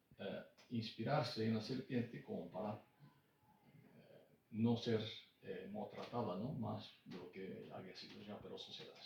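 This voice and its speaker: Room echo is audible as a man speaks at a very slow pace. His loudness swings widely. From Brazil. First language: Japanese, then Portuguese (speaking Spanish). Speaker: author. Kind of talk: book presentation talk. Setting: bookshop with audience. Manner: hesitant, many fillers and repetitions.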